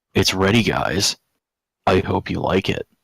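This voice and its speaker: Putting on a character voice, a man speaks in a raspy, very deep, low pitch at a moderate pace, the sound dry and close with no echo. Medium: read story.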